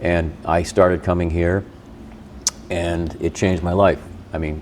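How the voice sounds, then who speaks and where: In a flat monotone with an American accent, a man with a very deep, low voice speaks at a fairly slow pace. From Boston area. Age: 60s. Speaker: radio host. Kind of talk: casual chat. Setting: in-person recording at a gym.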